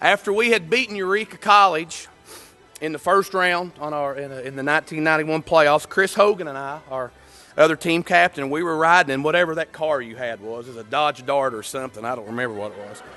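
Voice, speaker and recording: A man with a Kentucky accent, fairly high in pitch, at a fairly quick pace with lively intonation and big swings in loudness. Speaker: former college quarterback. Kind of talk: induction speech.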